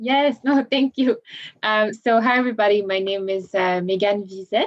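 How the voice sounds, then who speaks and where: In a slight French accent, a woman speaks at a moderate pace with ordinary pitch variation. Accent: slight francophone. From Belgium. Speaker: government relations specialist. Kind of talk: panel discussion.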